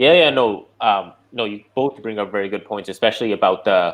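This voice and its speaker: This man talks at a moderate pace, his medium pitch showing ordinary variation. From Canada, born in India. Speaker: movie YouTuber. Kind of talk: casual panel discussion. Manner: hesitant, many fillers.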